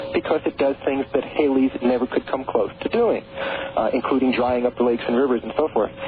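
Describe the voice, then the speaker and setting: Fairly high in pitch, a man talks at a fairly quick pace with noticeable background noise around him. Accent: American. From New York. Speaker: author on prophecy and the Great Pyramid. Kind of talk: radio interview. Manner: halting, many repeated words.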